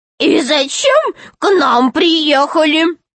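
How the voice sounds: A woman's squeaky, put-on character voice, high in pitch with big pitch swings and a fairly bright tone, at a slow pace, in a dry, close sound with no echo.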